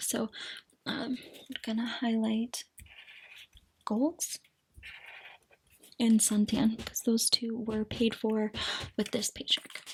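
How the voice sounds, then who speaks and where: Soft-spoken, fairly slow delivery with monotone, flat intonation. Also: woman. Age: 20s. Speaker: budgeting and cash stuffing YouTuber. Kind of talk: casual talk to camera, budget walkthrough. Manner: soft-spoken, ASMR style.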